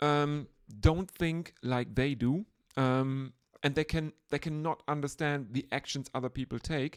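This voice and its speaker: Very clean and set against a silent background, this recording features a woman with a very deep, low pitch and a German accent. She talks at a fairly slow pace with ordinary pitch variation. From Germany. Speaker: podcast host. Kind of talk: casual chat.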